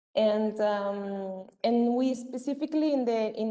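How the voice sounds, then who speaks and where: Speaking fairly slowly with a Spanish accent, a woman uses a fairly high pitch and fairly even intonation. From Venezuela. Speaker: community intervention worker at an NGO. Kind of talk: presentation at a virtual event. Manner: halting, many fillers.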